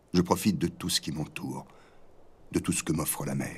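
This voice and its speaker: A man whispers. His pace is fairly slow. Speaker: voice-over narrator. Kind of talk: documentary narration.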